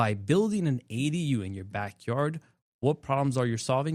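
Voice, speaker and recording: A plain, everyday voice with an American accent moves at a fairly quick pace with lively intonation. The sound is dry and close with no echo, on a very clean recording with a silent background. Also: man. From southwest Florida, Bonita Springs. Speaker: general contractor, tiny home builder. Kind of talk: casual interview chat.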